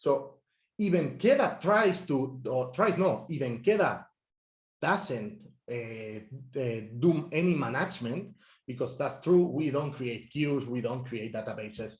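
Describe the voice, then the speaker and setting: A man at a fairly slow pace, with a fairly high, somewhat breathy voice and lively intonation. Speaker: software engineer. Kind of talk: technical talk. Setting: meetup talk.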